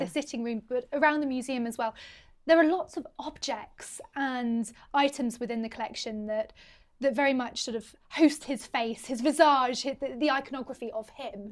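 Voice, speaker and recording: A woman speaks at a moderate pace in a high voice with ordinary pitch variation, on a very clean recording with a silent background. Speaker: history presenter. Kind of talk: interview questions.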